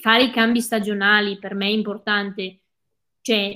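In a very clean recording with a silent background, a woman speaks at a medium pitch in a bright, sharp tone. Her delivery is monotone and flat, at a fairly slow pace. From Veneto, Cadore (Dolomites), Italy. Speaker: ultra trail runner. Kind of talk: casual interview. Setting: live video stream.

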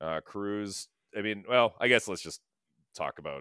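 A man talks at a fairly quick pace in a normal speaking voice, fairly low in pitch. The very clean recording has a silent background and a dry, close sound with no echo. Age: 40s. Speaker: movie podcast host. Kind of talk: casual chat.

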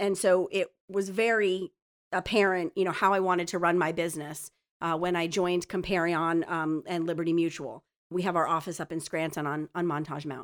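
In a very clean recording with a silent background, a woman with an ordinary speaking voice talks at a fairly quick pace, her fairly low pitch held to fairly even intonation. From northeastern Pennsylvania, Luzerne County. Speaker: insurance agent. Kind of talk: casual interview. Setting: studio.

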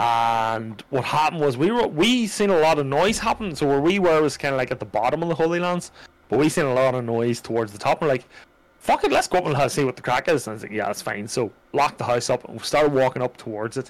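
With an Irish accent, a man speaks at a very fast pace in a fairly high pitch with lively intonation. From Ireland. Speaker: streamer. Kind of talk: casual chat. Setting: live stream.

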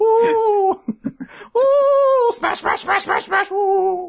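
In a playful, put-on character voice, the speaker drawls at a very slow pace with an extremely high pitch. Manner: hooting, playful.

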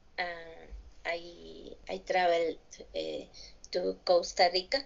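Speaking very slowly in a Mexican accent, a woman leaves long, frequent pauses. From Mexico, Tabasco (Villahermosa). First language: Spanish. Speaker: English language student. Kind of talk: language class conversation practice. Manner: halting.

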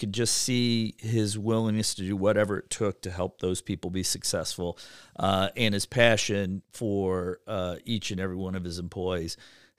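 A man's fairly low voice in an Ohio accent, with fairly even intonation and hardly any pauses, dry and close with no echo, on a very clean recording against a silent background. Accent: Midwestern US (Ohio). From Ohio, Cleveland. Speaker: bank executive. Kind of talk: casual interview. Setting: podcast studio.

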